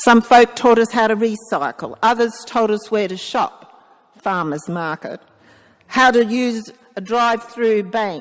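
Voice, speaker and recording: A woman speaks in an Australian accent at a fairly high pitch. Her pace is fairly slow, with ordinary pitch variation. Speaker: priest. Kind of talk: sermon. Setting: church.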